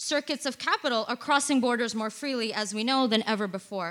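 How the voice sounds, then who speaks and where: Speaking at a fairly quick pace, a woman uses a raised, projected voice that is high in pitch, bright and sharp in tone, with ordinary pitch variation. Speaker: migrant rights activist. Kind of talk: reading aloud. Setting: stage with audience.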